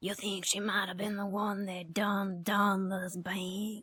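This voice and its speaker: A woman puts on a character voice that is raspy and monotone, with flat intonation. She talks fairly slowly at a medium pitch. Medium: game stream. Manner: coy, flirtatious.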